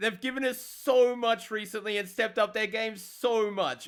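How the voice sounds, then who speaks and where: Fairly quick, animated speech from a man with an Australian accent and a bright, sharp tone. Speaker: gaming youtuber. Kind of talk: casual gaming commentary.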